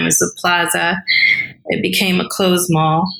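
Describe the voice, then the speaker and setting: Over noticeable background noise, a woman talks at a moderate pace with a fairly low pitch and monotone, flat intonation. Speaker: regulatory strategy professional. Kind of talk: interview conversation.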